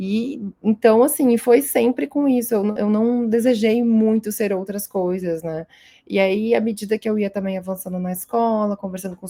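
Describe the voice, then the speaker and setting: A woman speaks in a Rio Grande do Sul accent with a dark, mellow tone at a moderate pace. Her pitch varies in an ordinary way on a very clean recording with a silent background. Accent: gaúcho (Rio Grande do Sul). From southern Brazil, interior of Rio Grande do Sul. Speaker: astrophysicist and researcher. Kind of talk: podcast interview. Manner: hesitant, many fillers.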